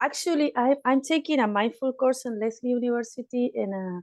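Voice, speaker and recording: Over a quiet background, a woman with a non-native accent speaks with ordinary pitch variation. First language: not English. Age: 50s. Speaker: meditation group participant and student. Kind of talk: group discussion.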